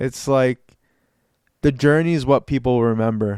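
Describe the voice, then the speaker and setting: Recorded very cleanly against a silent background, a man speaks at a moderate pace with a medium pitch. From United States, Lebanese-American family. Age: 20s. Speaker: podcast host. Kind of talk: solo podcast monologue. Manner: some stumbles and false starts; casual, motivational.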